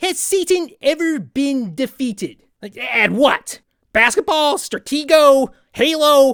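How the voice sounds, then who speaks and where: A high-pitched, cartoonish character voice. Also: fairly slow pace. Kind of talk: comedic parody interview answers to camera. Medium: puppet. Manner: casual, sarcastic.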